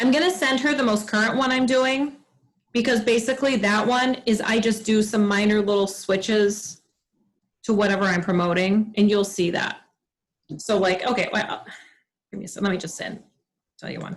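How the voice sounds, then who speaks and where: Fairly high in pitch and somewhat breathy, a woman speaks in an animated tone with ordinary pitch variation. She leaves long, frequent pauses. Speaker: direct sales team leader. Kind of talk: team training meeting. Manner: fast.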